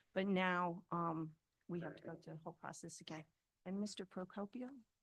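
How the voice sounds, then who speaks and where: A woman with an ordinary speaking voice and a fairly low pitch talks at a fairly quick pace with fairly even intonation. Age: 60s. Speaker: property owner speaking at public hearing. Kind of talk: public comment at town meeting. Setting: town board meeting room.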